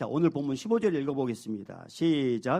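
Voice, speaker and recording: The tone of this man's voice is dark and mellow. His intonation is lively. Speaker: senior pastor. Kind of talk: sermon. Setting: church.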